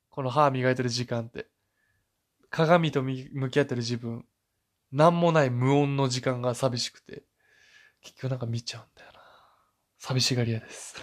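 At a moderate pace, a man speaks with fairly even intonation, big swings in loudness, and long, frequent pauses. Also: medium pitch for a man. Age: 20s. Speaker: solo podcast host. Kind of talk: casual monologue. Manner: halting, many fillers.

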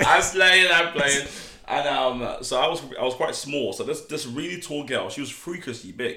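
A man with a fairly high pitch talks in an animated tone at a moderate pace, with ordinary pitch variation. Audible room echo and noticeable background noise surround him. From Nigeria. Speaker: podcast guest. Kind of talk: casual chat. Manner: animated storytelling.

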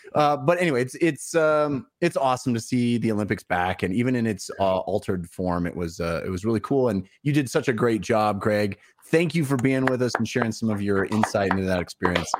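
At a fairly quick pace, a man with an unremarkable speaking voice talks at medium pitch with lively intonation. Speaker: show host. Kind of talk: casual chat. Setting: livestream from home.

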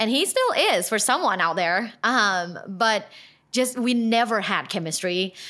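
In a very clean recording with a silent background, a woman speaks at a fairly high pitch with a bright, sharp tone and ordinary pitch variation. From Thailand. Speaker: sex and relationship expert. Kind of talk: casual interview.

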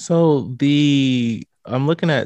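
Against a quiet background, a man with an American accent is recorded in a dry, close sound with no echo. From US Midwest, St. Louis, Missouri. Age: 30s. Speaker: podcaster. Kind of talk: casual chat.

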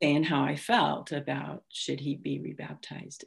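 In a very clean recording with a silent background, a woman with an American accent speaks at a fairly slow pace. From California (Bay Area). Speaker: church service missionary. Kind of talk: interview testimony. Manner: halting.

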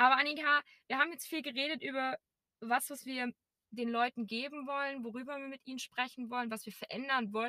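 A woman projects a raised, high voice with a bright, sharp tone at a fairly quick pace. Her intonation stays fairly even while her loudness swings widely, in a dry, close sound with no echo. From Erzgebirge, Saxony, Germany. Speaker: podcast co-host. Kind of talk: casual chat. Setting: in a car.

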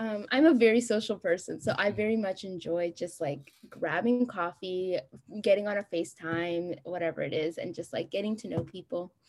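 The speaker uses an American accent, with ordinary pitch variation at a moderate pace. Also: woman, medium pitch for a woman. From US Midwest (Columbus, Ohio). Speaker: graduate student. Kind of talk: interview.

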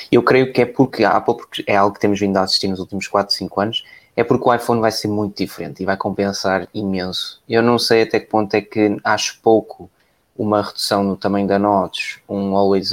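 A man's fairly low-pitched voice with a European Portuguese accent, fairly even intonation and a fairly quick pace. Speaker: tech podcast host. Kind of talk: casual live-stream chat.

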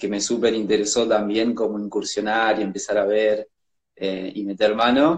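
A man talks at a moderate pace in a normal speaking voice. His intonation stays fairly even. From Argentina, Jujuy. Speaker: actor, photographer and director. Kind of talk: casual interview.

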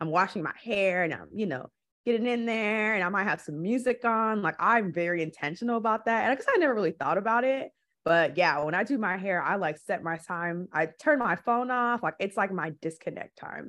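A woman with an American accent speaks in a normal speaking voice, at a medium pitch and fairly quick pace. Her intonation is lively, and the background is quiet. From Milwaukee, Wisconsin. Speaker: community organizer. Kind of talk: casual chat.

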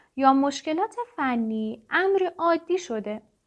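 A woman talks at a very slow pace. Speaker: podcast host reading a self-help book aloud. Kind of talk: reading aloud.

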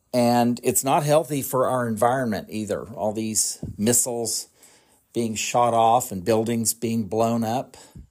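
A man's plain, everyday voice at a medium pitch, with fairly even intonation and a fairly slow pace. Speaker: podcast host. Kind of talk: solo political commentary podcast, with an angry rant about Republicans near the end. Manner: casual and conversational, rambling; heated and indignant in the rant.

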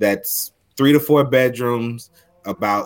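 Here is an ordinary speaking voice. The intonation stays fairly even. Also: man. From Houston, Texas. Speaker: realtor. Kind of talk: casual interview.

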